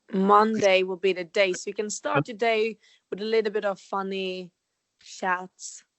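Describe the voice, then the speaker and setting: Speaking at a fairly slow pace, a woman with a Swedish accent keeps her intonation fairly even. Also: medium pitch for a woman. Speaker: holistic health coach, podcast co-host. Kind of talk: casual chat.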